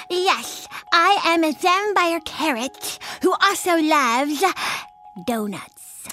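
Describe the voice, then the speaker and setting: A put-on character voice comes at an extremely high pitch and a very slow pace, broken by long, frequent pauses. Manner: playful.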